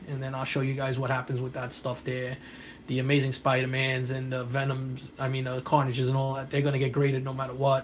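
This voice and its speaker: A man with a New York accent, somewhat breathy, at a very fast pace with monotone, flat intonation. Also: medium pitch for a man. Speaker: comic book collector and YouTuber. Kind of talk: live stream chat. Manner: casual, rambling with fillers.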